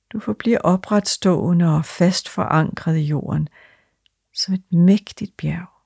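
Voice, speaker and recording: Calm and soothing, a somewhat breathy woman with a fairly low pitch speaks very slowly in a dry, close sound with no echo. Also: ordinary pitch variation. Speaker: meditation guide. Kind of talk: guided meditation. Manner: slow, calm and soothing, with long pauses between short phrases; soft-spoken and steady, repeating breath cues in a rhythmic way.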